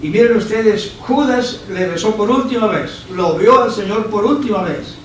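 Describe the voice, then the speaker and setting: A very slow man's voice with audible room echo and noticeable background noise. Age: 70s. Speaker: visiting preacher. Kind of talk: sermon. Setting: church service with congregation.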